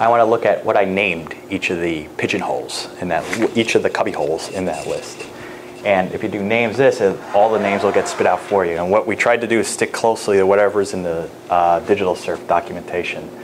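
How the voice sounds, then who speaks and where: Speaking at a very fast pace, a man with an American accent keeps his fairly low pitch fairly even, with noticeable background noise and audible room echo. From New York State. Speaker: professor. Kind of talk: lecture. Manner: casual.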